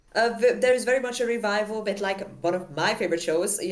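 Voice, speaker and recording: Over noticeable background noise, a woman with a non-native accent talks at a fairly quick pace. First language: not English. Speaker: festival recap co-host. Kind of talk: casual chat. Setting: live stream.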